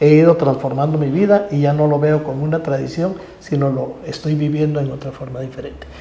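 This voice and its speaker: Talking at a fairly quick pace, a man uses a fairly high pitch with ordinary pitch variation. Noticeable background noise and audible room echo fill the recording. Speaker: religious procession bearer. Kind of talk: religious talk show discussion.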